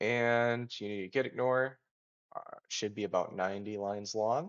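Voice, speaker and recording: A man speaks in a plain, everyday voice. His pace is moderate and his intonation fairly even. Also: medium pitch for a man. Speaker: software developer. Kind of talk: tutorial. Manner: casual with fillers.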